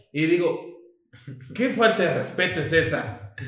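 Audible room echo surrounds a man as he speaks. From Mexico, Chiapas (Tuxtla Gutiérrez). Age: 20s. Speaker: podcast co-host, civil engineer. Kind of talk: casual chat.

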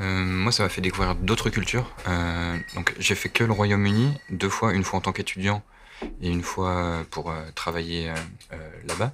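A man's very deep, low voice at a fairly slow pace, ordinary pitch variation, and noticeable background noise. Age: 30s. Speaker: shopkeeper. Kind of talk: casual interview. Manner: halting.

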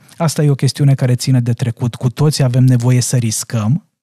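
At a moderate pace, a man with medium pitch talks in a dark, mellow, somewhat breathy tone with fairly even intonation, recorded dry and close with no echo. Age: 40s. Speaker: parenting coach. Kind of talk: casual chat. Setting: studio.

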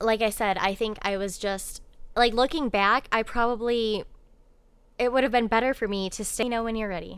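A woman speaks in an American accent with a plain, everyday voice, at a fairly high pitch and moderate pace. Her intonation stays fairly even in a very clean recording with a silent background. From Ohio, US. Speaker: guest sharing life story. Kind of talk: personal testimony in casual interview.

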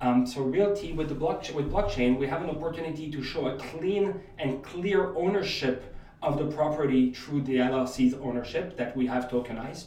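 Speaking with a French accent at a moderate pace and hardly pausing, a man uses ordinary pitch variation at a fairly high pitch, with noticeable background noise behind him. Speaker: real estate investor and crypto entrepreneur. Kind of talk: podcast interview.

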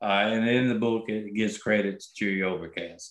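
A man speaks at a moderate pace in a fairly low pitch, with a plain, everyday voice. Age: 60s. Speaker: concert promoter. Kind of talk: interview.

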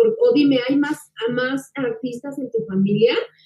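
Over music in the background, a woman talks at a moderate pace with very wide pitch swings. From Mexico. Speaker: actress and interviewer. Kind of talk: casual interview.

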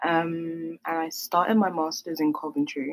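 A woman with a South London accent speaks in a very deep, low voice, the sound dry and close with no echo. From South East London. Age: 20s. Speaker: podcast co-host. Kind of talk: casual chat.

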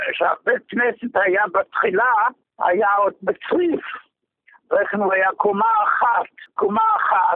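Pausing long and often, a man talks at a very slow pace with very even loudness. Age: 90s. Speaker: longtime synagogue congregant. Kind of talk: phone interview.

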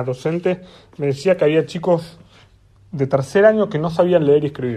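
A man talks at a fairly quick pace in a dark, mellow tone. His pitch variation is ordinary. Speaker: podcast host. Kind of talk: opinion monologue. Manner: impassioned.

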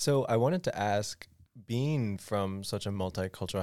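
The speaker moves at a moderate pace with ordinary pitch variation. The recording is very clean, with a silent background. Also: man. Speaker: student podcast host. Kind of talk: casual chat.

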